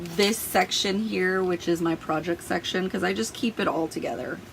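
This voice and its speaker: A woman speaks over noticeable background noise. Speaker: planner and productivity YouTuber. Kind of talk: tutorial. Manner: casual, chatty with fillers.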